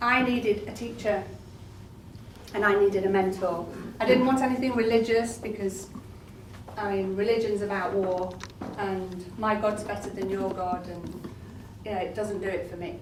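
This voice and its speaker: A woman talks at a moderate pace in a medium pitch, with long, frequent pauses. Noticeable background noise and audible room echo fill the recording. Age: 60s. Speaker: talk therapist and author. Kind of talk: speech to an audience at a book launch. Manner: animated.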